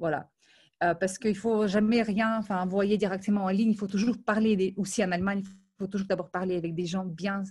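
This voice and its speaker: This woman's voice is somewhat breathy, with monotone, flat intonation. She speaks at a moderate pace and a medium pitch. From Ukraine and Moldova. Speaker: film industry professional. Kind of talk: interview.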